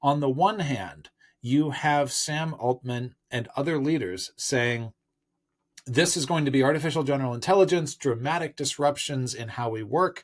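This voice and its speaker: At a moderate pace and with ordinary pitch variation, an ordinary speaking voice comes through in a very clean recording with a silent background. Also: man, fairly high pitch for a man. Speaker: tech commentator. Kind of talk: news commentary monologue.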